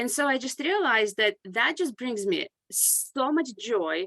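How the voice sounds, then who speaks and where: A woman's high, bright, sharp, raised and projected voice with a non-native accent, at a fairly slow pace, in dry, close sound with no echo. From grew up abroad, moved to US at 14. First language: not English. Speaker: consulting firm CEO and author. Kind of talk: podcast interview.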